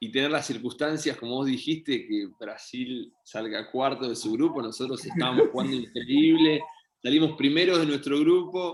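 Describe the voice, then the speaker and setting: The speaker has an Argentine accent. The pace is moderate. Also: man, fairly high pitch for a man, ordinary pitch variation. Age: 30s. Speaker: professional volleyball player. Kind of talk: interview. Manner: hesitant, many fillers.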